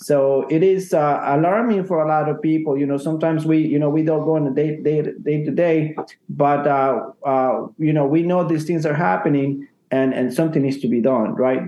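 Speech in a Spanish accent with ordinary pitch variation and very even loudness. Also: man, fairly high pitch for a man, moderate pace. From Ecuador. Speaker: realtor. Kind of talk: casual chat.

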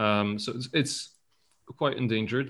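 This voice belongs to a man. Its pitch is medium. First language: French. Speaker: podcast host. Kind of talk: casual interview chat. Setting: video call.

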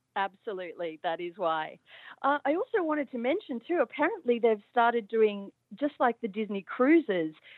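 Speaking in an Australian accent at a moderate pace, a woman with a fairly high voice swings her pitch very widely. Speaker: caller. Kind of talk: casual chat. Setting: phone call.

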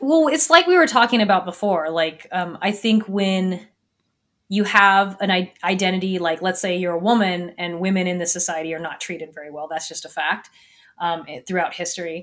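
A woman with an American accent and a plain, everyday voice talks at a moderate pace and medium pitch. Her pitch variation is ordinary, and her loudness swings widely. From US Northwest, small town in Washington. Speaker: physics lecturer and science podcast host. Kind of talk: interview podcast. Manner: casual, filler-heavy with frequent laughter.

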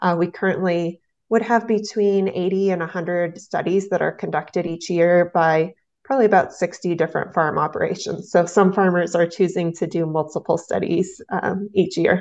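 A woman with an American accent has an ordinary speaking voice, fairly low in pitch with fairly even intonation, talking at a moderate pace against a quiet background. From southeast Nebraska. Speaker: agricultural extension educator. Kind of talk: interview.

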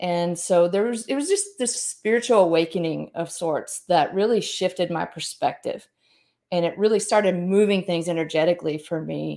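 Speaking in a Southern US accent, a woman uses a fairly low pitch, a dark, mellow tone, ordinary pitch variation and a moderate pace. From US South, Mississippi. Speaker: author and speaker. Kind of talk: interview.

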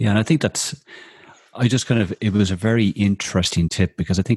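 In an Irish accent, a man speaks with a very deep, low pitch and ordinary pitch variation. The sound is dry and close, with no echo. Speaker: radio host, social media strategist. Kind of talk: casual chat show interview; reading guest introduction.

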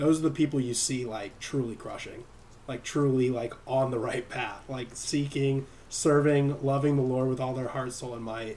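Speaking in an American accent at a moderate pace, a man uses an unremarkable speaking voice of medium pitch with fairly even intonation. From US, San Diego. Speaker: podcast host. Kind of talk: casual chat. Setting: live stream.

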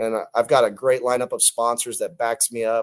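With an American accent, this is a normal speaking voice at a moderate pace with ordinary pitch variation. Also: man. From California, Stockton. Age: 40s. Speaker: teacher and pro cornhole player. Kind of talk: interview.

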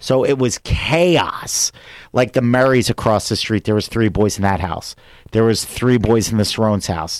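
A man with a Philadelphia accent talks at a moderate pace with a medium pitch. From US Northeast, Philadelphia area. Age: 40s. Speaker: comedian. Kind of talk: casual chat.

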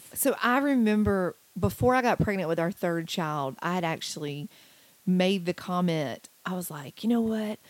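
The recording is very clean, with a silent background. A woman at medium pitch talks at a moderate pace with lively intonation. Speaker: podcast host. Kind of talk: casual interview. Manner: animated.

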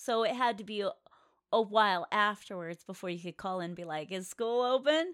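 A woman with an American accent speaks in a normal speaking voice at medium pitch and a moderate pace, her intonation lively and her loudness swinging widely, on a very clean, silent, dry and close recording with no echo. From Colorado. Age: 40s. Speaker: podcast co-host, adult entertainment industry. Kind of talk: casual chat.

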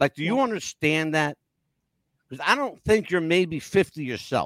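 Speaking in a fairly high voice with an American accent, a man sounds animated, his intonation lively and the sound dry and close with no echo. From US North. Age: 60s. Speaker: podcast host. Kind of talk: casual chat. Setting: live video call.

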